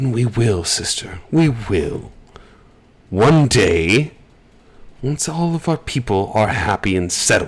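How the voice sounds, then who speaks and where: Putting on a character voice, a man at medium pitch speaks fairly slowly with long, frequent pauses. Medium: actual play. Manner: smug, domineering.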